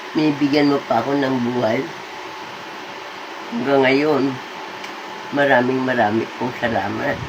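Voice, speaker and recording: Noticeable background noise sits behind a woman with a very deep, low voice. She talks at a fairly slow pace with fairly even intonation and long, frequent pauses. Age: 80s+. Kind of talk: casual talk to camera.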